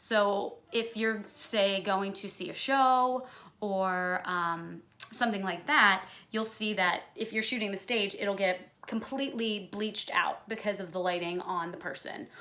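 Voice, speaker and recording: Loud and bright, with a sharp tone, a woman speaks at a fairly slow pace in a medium pitch with ordinary pitch variation. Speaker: musical theater performer and vocalist. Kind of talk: tutorial. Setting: home recording setup.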